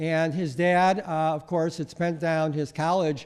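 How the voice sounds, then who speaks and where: A man at a fairly slow pace with fairly high pitch. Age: 60s. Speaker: mental health policy advocate. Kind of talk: conference presentation. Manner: hesitant with frequent fillers.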